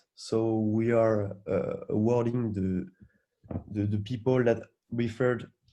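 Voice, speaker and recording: A man's dark, mellow tone at a fairly slow pace. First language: French. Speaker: hackathon organizer. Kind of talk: event briefing. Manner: halting, frequent repetitions.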